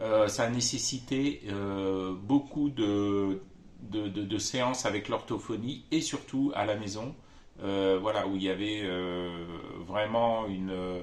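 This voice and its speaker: Audible room echo surrounds a man's voice. He speaks at a fairly low pitch and a very slow pace. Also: ordinary pitch variation. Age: 50s. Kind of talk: testimony. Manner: halting, many hesitations.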